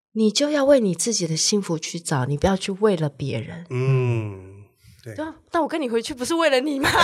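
With a Taiwanese accent, a woman talks at a moderate pace and swings her pitch very widely. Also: medium pitch for a woman. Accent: Taiwanese Mandarin. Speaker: restaurant owner. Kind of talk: casual chat.

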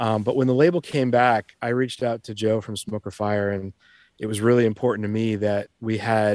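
A man speaks in a normal speaking voice at a medium pitch with fairly even intonation, an American accent, a moderate pace, and a dry, close sound with no echo. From Boston. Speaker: record label owner. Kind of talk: casual chat.

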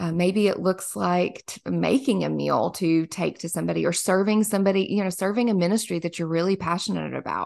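The background stays quiet. A woman talks fairly quickly. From US South, small-town Kentucky. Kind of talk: casual faith interview.

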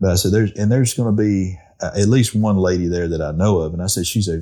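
With an Arkansas accent, a man speaks at a very fast pace in a dark, mellow tone with ordinary pitch variation. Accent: southern US (Arkansas). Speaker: duck calling champion and call maker. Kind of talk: casual interview.

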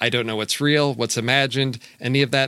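A man speaks in a bright, sharp tone. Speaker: podcast co-host. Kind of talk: casual chat.

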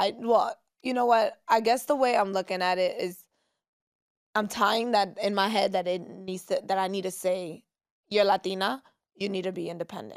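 Here a woman speaks with a New York accent. Her pitch is medium and her pace moderate. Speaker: social media personality. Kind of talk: casual chat. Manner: animated.

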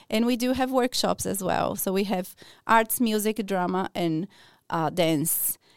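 A woman with a Portuguese accent speaks at a medium pitch and fairly slow pace, with ordinary pitch variation. The recording is very clean, with a silent background and a dry, close sound with no echo. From Brazil, São Paulo. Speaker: early childhood educator. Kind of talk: radio interview. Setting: studio.

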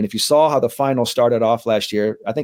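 A man's unremarkable speaking voice with an American accent, medium in pitch with ordinary pitch variation, at a moderate pace, in a dry, close sound with no echo on a very clean recording with a silent background. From San Francisco, California (Bernal Heights). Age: 40s. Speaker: mental skills trainer for athletes. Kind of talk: casual interview chat; guided meditation.

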